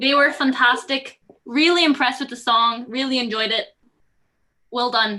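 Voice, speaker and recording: A woman projects a raised voice, bright and sharp in tone, at a moderate pace. She sounds enthusiastic, with ordinary pitch variation. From Northern Ireland, County Antrim. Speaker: student jury spokesperson. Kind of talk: mock Eurovision vote announcement.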